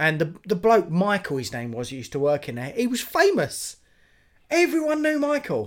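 Speaking at a moderate pace, a man with a high pitch makes very wide pitch swings and big swings in loudness. The recording is very clean, the background silent. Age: 40s. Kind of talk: casual chat.

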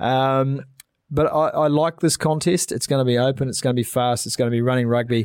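With a New Zealand accent, a man talks at a medium pitch and a fairly quick pace. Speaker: rugby podcast host. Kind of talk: casual sports chat. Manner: animated.

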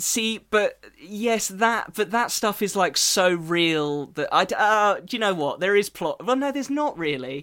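A man with an English accent speaks in a high pitch with a bright, sharp tone and lively intonation. He moves at a fairly slow pace with hardly any pauses, on a very clean recording with a silent background. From England. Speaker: podcast host. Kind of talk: casual chat.

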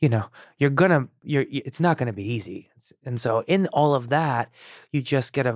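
A man speaks at a fairly quick pace in a Chicago accent, with ordinary pitch variation. The recording is very clean, with a silent background and a dry, close sound with no echo. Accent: American, Chicago area. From Iran, raised outside Chicago from childhood. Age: 30s. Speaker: actor and writer-director. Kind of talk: casual interview conversation. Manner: halting, many false starts and repetitions.

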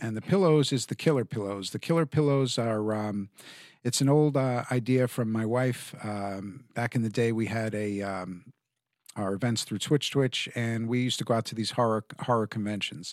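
An unremarkable speaking voice with ordinary pitch variation, a moderate pace, and a dry, close sound with no echo. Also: man, medium pitch for a man. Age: 50s. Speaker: film festival organizer and CBD store owner. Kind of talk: casual chat.

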